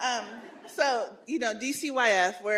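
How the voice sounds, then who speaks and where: This woman speaks with ordinary pitch variation. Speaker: city department director. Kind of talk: panel discussion.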